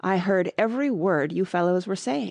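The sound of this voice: A woman uses a hoarse, put-on character voice. Her pitch is medium and her pace moderate.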